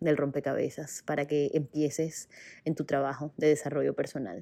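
A woman speaks with a very deep, low pitch and a dark, mellow tone at a moderate pace. The recording is very clean, with a silent background. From Colombia, Caribbean coast (Barranquilla). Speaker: personal development coach and podcaster. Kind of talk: personal monologue, inspirational. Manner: warm, gentle.

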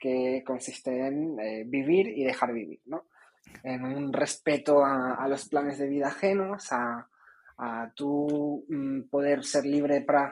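A man speaks very slowly in a fairly high voice. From Canary Islands (Tenerife). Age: 20s. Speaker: student organization representative. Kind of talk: interview. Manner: halting, many fillers and repetitions.

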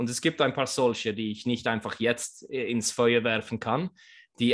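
Speaking at a moderate pace with a Swedish accent, a man with a medium-pitched voice is heard against a quiet background. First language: Swedish (speaking German). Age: 40s. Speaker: floorball coach. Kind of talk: interview.

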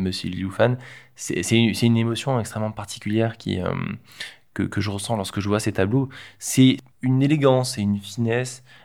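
The voice keeps a fairly even intonation on a very clean recording with a silent background. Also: man. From Provence, southern France. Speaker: project manager for an art foundation. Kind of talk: interview. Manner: halting, with fillers and repetitions.

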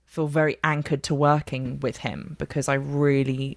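The voice moves at a moderate pace with monotone, flat intonation. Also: woman. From London. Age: 30s. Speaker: singer-songwriter. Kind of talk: casual chat.

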